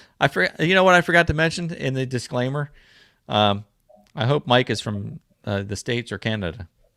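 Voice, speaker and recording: A man's medium-pitched voice has a bright, sharp tone and lively intonation. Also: fairly quick pace, dry, close sound with no echo, very clean recording, silent background. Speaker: livestream host, DIY and outdoors creator. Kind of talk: casual livestream chat.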